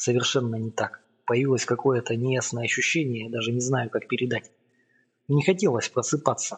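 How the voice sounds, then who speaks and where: Somewhat breathy, a man's medium-pitched voice moves at a fairly quick pace. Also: ordinary pitch variation. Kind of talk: audiobook narration, first-person literary reading. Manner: measured, storytelling pace, building suspense.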